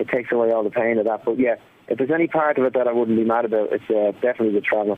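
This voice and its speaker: At a very fast pace, a man with an Irish accent speaks at medium pitch, with very even loudness and fairly even intonation. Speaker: drummer in a band. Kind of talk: phone interview. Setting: phone call.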